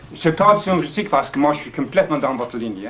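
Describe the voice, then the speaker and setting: A man speaks with an English accent and lively intonation. Noticeable background noise can be heard. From England. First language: English (speaking French). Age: 60s. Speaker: audience member. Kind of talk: audience question.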